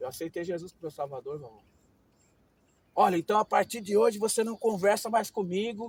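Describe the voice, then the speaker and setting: Speaking at a fairly quick clip with long, frequent pauses, a man with a high pitch and ordinary pitch variation swings widely in loudness in a dry, close recording with no echo. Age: 60s. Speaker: missionary preacher. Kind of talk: interview testimony. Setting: outdoors.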